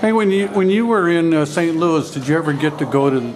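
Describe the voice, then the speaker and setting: With lively intonation, a man's speech comes through noticeable background noise and audible room echo. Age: 70s. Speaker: videographer interviewing a jazz musician. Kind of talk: casual chat. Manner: halting.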